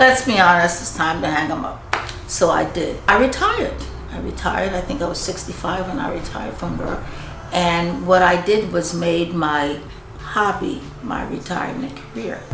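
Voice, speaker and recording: Music plays in the background as a woman talks at a moderate pace. Her pitch is fairly low and her intonation lively. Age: 70s. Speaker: retired pro bodybuilder. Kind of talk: interview answer.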